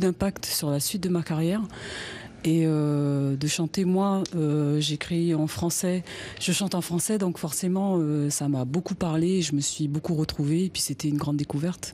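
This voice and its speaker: Her voice very deep and low, a woman talks at a moderate pace with very even loudness and fairly even intonation. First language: Wallisian (speaking French). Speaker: singer. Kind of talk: interview. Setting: inside a traditional hut at a cultural centre. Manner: halting, many hesitations.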